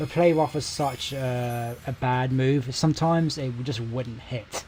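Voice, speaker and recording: Music plays in the background as a man with a British accent talks. He speaks at a fairly slow pace in a medium pitch. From Britain. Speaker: gaming streamer. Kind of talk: casual live-stream commentary. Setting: live stream. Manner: monotone.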